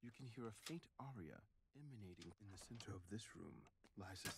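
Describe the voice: Here someone gives a plain reading aloud.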